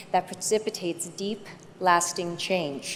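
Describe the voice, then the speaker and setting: A woman's normal speaking voice in an American accent, at a moderate pace with ordinary pitch variation. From United States. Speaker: actress. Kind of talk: award acceptance speech.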